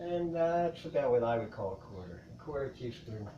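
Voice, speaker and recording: Very wide pitch swings from a medium-pitched man at a moderate pace, with noticeable background noise. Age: 50s. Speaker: home cook. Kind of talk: cooking demonstration. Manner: casual, hesitant.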